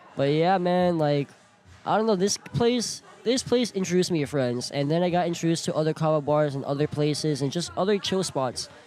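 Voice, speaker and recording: With an American accent, a man talks at a fairly quick pace in an animated tone, his fairly high voice showing ordinary pitch variation. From South Florida, Broward/Miami-Dade. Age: 20s. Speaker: podcast guest. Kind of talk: casual chat. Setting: live event at a kava bar.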